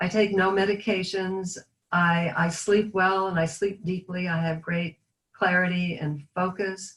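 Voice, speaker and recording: A woman's somewhat breathy voice with monotone, flat intonation. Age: 60s. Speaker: product user giving testimonial. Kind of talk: testimony.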